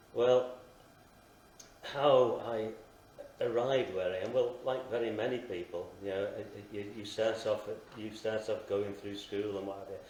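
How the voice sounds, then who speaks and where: Recorded with noticeable background noise and audible room echo, a man talks at a moderate pace with long, frequent pauses. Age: 60s. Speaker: podcast guest. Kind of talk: testimony. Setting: live show in a station lounge. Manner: halting.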